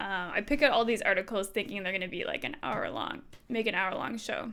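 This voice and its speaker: Ordinary pitch variation and a fairly quick pace in a plain, everyday voice. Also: woman, fairly high pitch for a woman. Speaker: streamer. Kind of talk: reading aloud with commentary. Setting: live stream. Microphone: new microphone after broken cable.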